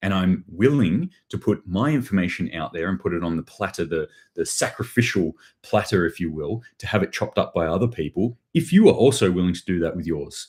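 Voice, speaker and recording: A man with an Australian accent talks in a very deep, low pitch. He moves at a fairly quick pace with lively intonation. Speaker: prepping channel host. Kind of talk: livestream commentary on news. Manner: casual, with many fillers.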